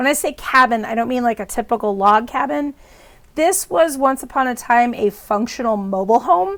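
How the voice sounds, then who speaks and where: Her intonation lively and her pitch high, a woman speaks at a moderate pace. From US Midwest. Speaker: storytelling vlogger. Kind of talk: casual storytelling. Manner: hesitant, many filler words.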